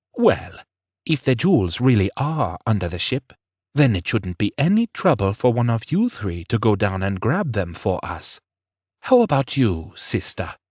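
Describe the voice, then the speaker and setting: Against a quiet background, a man puts on a character voice at a medium pitch. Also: moderate pace. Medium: read story. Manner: cold, controlled, menacing.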